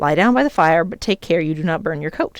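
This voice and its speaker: A female-sounding voice, pitched fairly low for a woman, rattles along at a very fast pace in a put-on character voice. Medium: read story.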